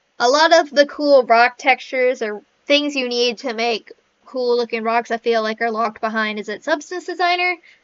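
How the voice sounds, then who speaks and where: A woman's voice, high-pitched, with ordinary pitch variation. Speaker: indie game developer. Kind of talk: software walkthrough. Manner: fast; casual, self-interrupting.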